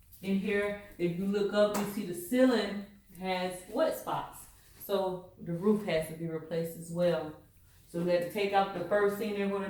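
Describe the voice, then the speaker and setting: Noticeable background noise sits behind a woman speaking at a medium pitch. Her pace is moderate and her intonation fairly even. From Southern United States. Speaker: realtor. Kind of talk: casual house-tour vlog talk to camera.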